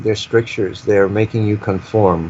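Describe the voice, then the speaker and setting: Noticeable background noise sits behind a man speaking at a moderate pace in a fairly low pitch. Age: 70s. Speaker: guest speaker on spirituality and UFO topics. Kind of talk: interview conversation. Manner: reflective, halting with repetitions.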